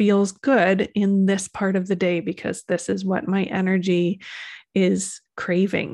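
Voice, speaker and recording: A woman speaks at a fairly slow pace in a normal speaking voice, medium in pitch, on a very clean recording with a silent background. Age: 40s. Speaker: EFT practitioner and numerologist podcast host. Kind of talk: casual solo talk / livestream monologue.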